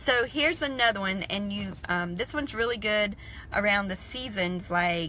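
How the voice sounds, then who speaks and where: A woman in a Southern US accent, bright and sharp in tone, at a moderate pace with ordinary pitch variation. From South Carolina, US South. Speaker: online business coach. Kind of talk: live stream talk. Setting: in a car in a parking lot.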